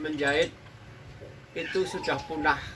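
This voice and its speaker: A man talks at a fairly slow pace. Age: 60s. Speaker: tailor and sewing school founder. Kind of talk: interview monologue.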